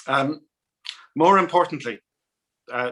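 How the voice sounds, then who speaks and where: A man speaks in an Irish accent with a bright, sharp tone. His pace is moderate, and his pitch varies in an ordinary way. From Ireland, Dublin. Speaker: ambassador. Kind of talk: welcoming speech. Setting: video call. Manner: hesitant, many ums.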